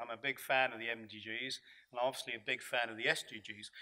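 Ordinary pitch variation in a bright, sharp tone. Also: man.

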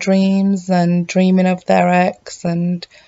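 A woman speaks in a soft-spoken voice. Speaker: vlogger. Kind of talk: casual vlog chat. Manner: slow, soft, drowsy pillow talk. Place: home room. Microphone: phone near.

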